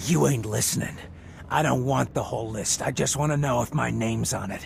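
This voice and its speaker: A raspy, put-on character voice at a fairly quick pace over clear background noise. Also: man, medium pitch for a man. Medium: video game. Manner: rough, threatening.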